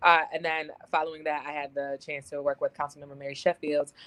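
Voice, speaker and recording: With an American accent, a woman speaks at a fairly quick pace in a very deep, low pitch, and the sound is dry and close with no echo. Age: 20s. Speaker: political candidate. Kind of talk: interview.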